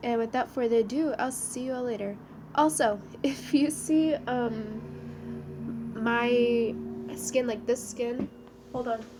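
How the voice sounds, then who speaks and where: Very slow female speech, noticeable background noise underneath. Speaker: gaming video creator. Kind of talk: casual talk to camera.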